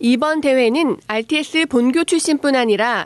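A woman speaks at a very slow pace in a high pitch with ordinary pitch variation, her voice dry and close with no echo against a quiet background. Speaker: news reporter. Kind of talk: news reading. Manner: formal.

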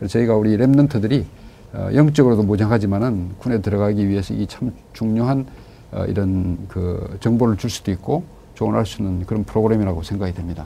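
Speaking in a normal speaking voice, a man uses a fairly low pitch with ordinary pitch variation. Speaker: pastor and co-host.

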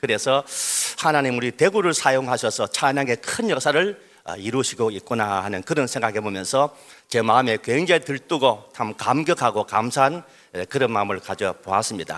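Here is a man with an ordinary speaking voice at a medium pitch. His intonation is lively and his pace moderate. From Daegu, South Korea. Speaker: pastor. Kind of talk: speech. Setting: stage with audience.

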